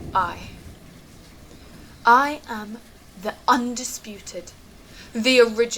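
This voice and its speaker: A woman speaks at a fairly high pitch with ordinary pitch variation, at a very slow pace with long, frequent pauses. Noticeable background noise runs underneath. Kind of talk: spoken word performance.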